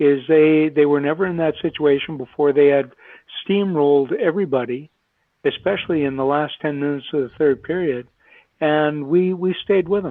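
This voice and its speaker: Here is a man with an ordinary speaking voice. His pitch is fairly high, with ordinary pitch variation. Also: moderate pace. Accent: American. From Minnesota. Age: 60s. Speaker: retired Olympic hockey player. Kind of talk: podcast interview.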